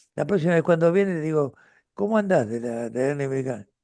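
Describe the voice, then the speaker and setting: A man speaks in a fairly high pitch with a dark, mellow tone. The background is quiet. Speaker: retired pediatrician and author. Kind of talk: interview conversation. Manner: halting with fillers.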